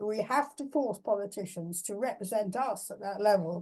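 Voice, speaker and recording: Speaking at a moderate pace with an English accent, a woman has a medium pitch, a dark, mellow tone and ordinary pitch variation. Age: 80s+. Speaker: philosopher. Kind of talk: Q&A discussion. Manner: halting.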